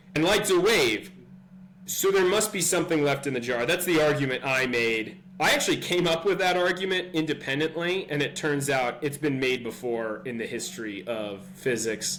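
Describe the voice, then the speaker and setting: There is noticeable background noise as a man with a fairly high pitch speaks at a moderate pace with lively intonation. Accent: Californian. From California. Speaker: physics tutor. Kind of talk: tutorial. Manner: hesitant, many fillers; casual.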